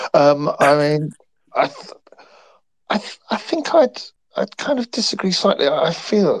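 A man with an English accent talks at a fairly slow pace. The sound is dry and close, with no echo. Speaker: radio football commentator. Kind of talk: casual chat. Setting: online call.

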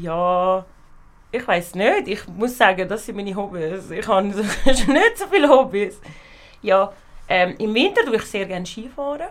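A woman's unremarkable speaking voice at a fairly slow pace with big swings in loudness, on a very clean recording with a silent background. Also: medium pitch for a woman, ordinary pitch variation. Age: 20s. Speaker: university student. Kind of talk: casual chat.

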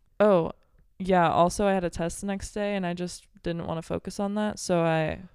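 A woman with an American accent and an ordinary speaking voice, fairly quick and fairly even in intonation, on a very clean recording with a silent background. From Belleville, Illinois, near St. Louis. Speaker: college volleyball player. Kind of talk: casual chat.

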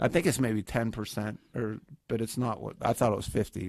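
A man with an American accent and a fairly low pitch speaks at a moderate pace with ordinary pitch variation and vocal fry, sounding dry and close with no echo on a very clean recording with a silent background. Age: 50s. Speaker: stand-up comedian. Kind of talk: casual chat.

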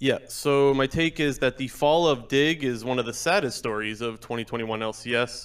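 Here is a man with a Canadian accent and a plain, everyday voice. He speaks at a moderate pace and a medium pitch. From Canada (Ontario). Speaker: caller. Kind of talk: casual chat.

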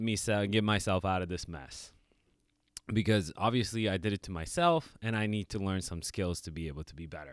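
Someone with a non-native accent speaks at a moderate pace on a very clean recording with a silent background. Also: man. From New York. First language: not English. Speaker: fitness coach and podcast host. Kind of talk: casual chat. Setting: studio.

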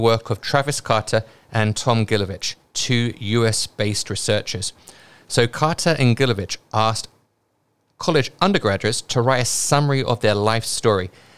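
A man with a British accent speaks at a moderate pace with a medium pitch, ordinary pitch variation and very even loudness. The recording is very clean, with a silent background. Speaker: investing podcast host. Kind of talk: casual podcast discussion.

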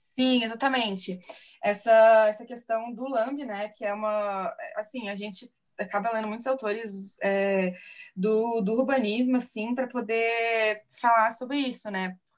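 Delivered in a plain, everyday voice at a fairly slow pace. The intonation stays fairly even. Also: woman, fairly high pitch for a woman. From Minas Gerais, Brazil (Divinópolis). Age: 20s. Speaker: illustrator and architecture student. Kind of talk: casual interview.

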